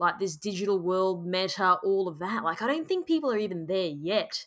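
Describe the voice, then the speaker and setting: With an Australian accent, a woman speaks at medium pitch and a moderate pace. Her tone is bright and sharp, her intonation lively. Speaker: podcast host. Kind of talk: interview.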